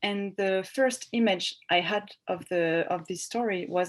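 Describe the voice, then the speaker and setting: With a French accent, a woman talks at a fairly slow pace with ordinary pitch variation against a quiet background. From France, Bordeaux. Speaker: novelist. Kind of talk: interview. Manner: halting.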